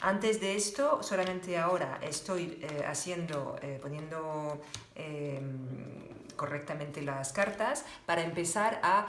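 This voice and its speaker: Speaking very slowly in a French accent, a woman uses a fairly low pitch, with noticeable background noise and audible room echo. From France. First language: French (speaking Spanish). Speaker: tarot reader. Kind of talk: tarot reading tutorial. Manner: halting, many fillers.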